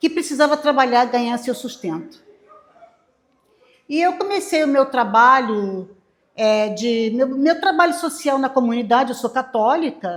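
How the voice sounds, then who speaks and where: Her voice is high, with lively intonation. The woman talks at a fairly slow pace, leaving long, frequent pauses. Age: 70s. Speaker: waste picker cooperative leader. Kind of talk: informal talk to class. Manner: halting.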